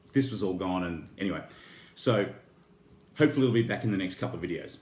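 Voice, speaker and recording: There is audible room echo as a man with a fairly low pitch talks at a very fast pace with ordinary pitch variation. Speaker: toy and horror YouTuber. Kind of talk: casual unboxing vlog. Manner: halting, many fillers.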